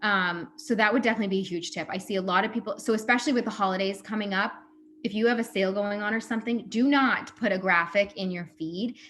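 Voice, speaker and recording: A woman talks at a very fast pace. Her pitch is medium, with ordinary pitch variation. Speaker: social media coach. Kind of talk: workshop presentation.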